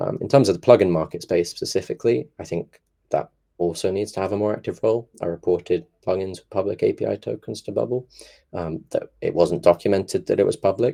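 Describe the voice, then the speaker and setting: Speaking at a very fast pace, a man shows big swings in loudness. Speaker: founder giving a conference talk on app security. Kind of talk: conference talk Q&A. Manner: frequent filler ums.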